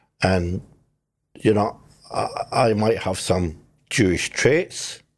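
A man with a Scottish accent, very deep and low in pitch, with ordinary pitch variation. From Scotland. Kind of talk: casual interview chat.

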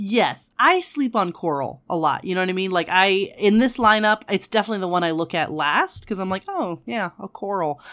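A plain, everyday voice carries on with hardly any pauses and ordinary pitch variation. The recording is very clean, with a silent background. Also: woman, medium pitch for a woman, moderate pace. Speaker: science educator and nail art hobbyist. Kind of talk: casual chat.

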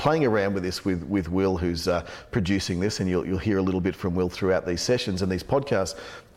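Speaking at a fairly quick pace, a man uses a low pitch, a slightly mellow tone and ordinary pitch variation.

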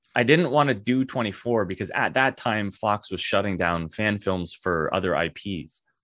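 Against a quiet background, the speaker talks at a moderate pace in an ordinary speaking voice, with lively intonation and hardly any pauses. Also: man, fairly low pitch for a man. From Canada. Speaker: actor and filmmaker. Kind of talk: casual interview.

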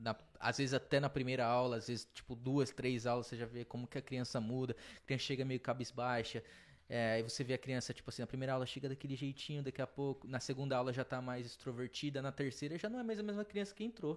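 Over a silent background in a very clean recording, a man talks very fast with ordinary pitch variation. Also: medium pitch for a man. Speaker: jiu-jitsu practitioner and coach. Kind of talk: casual chat.

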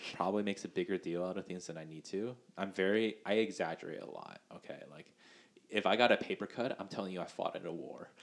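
A man talks at a very fast pace with a fairly low pitch. His loudness swings widely. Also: ordinary pitch variation. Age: 20s. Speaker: medical student podcast co-host. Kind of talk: casual chat.

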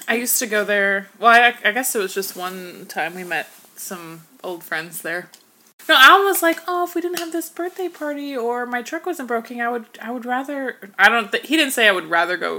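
Her voice is high and bright with a sharp tone, the woman swinging very widely in pitch and making big swings in loudness. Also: moderate pace. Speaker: podcast co-host. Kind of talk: casual chat. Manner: animated.

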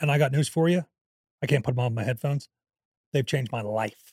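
A man's somewhat breathy, fairly high voice at a very fast pace, with ordinary pitch variation, long, frequent pauses, and a dry, close sound with no echo. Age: 40s. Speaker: podcast co-host. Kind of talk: casual chat.

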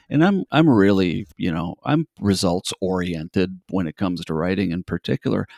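A man's very deep, low voice with ordinary pitch variation, a moderate pace and hardly any pauses, in a very clean recording with a silent background and a dry, close sound with no echo. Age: 50s. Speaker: children's book author. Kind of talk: casual interview. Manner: halting, many fillers.

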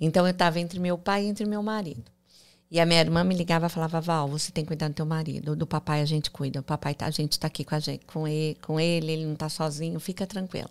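Her pitch very deep and low, a woman speaks at a very fast pace with fairly even intonation. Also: very clean recording, silent background. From Brazil, interior of São Paulo state. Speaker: entrepreneur and mentor. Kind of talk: interview.

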